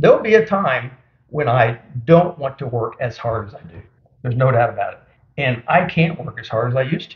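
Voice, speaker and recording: At a fairly quick pace, a man talks with a medium pitch and a somewhat breathy voice. His intonation is lively, with big swings in loudness. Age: 60s. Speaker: small business owner. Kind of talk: interview.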